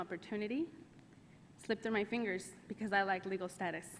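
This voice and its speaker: A woman talks at a medium pitch. Her pace is very fast. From US South, Arkansas (moved from Mexico at five). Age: 30s. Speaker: immigrant rights advocate. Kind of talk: congressional testimony. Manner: formal.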